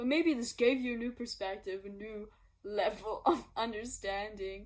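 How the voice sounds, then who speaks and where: A woman with a non-native accent, speaking at a moderate pace. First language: not English. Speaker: singer-songwriter. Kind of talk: casual explanation vlog. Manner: laughing; spontaneous, unscripted.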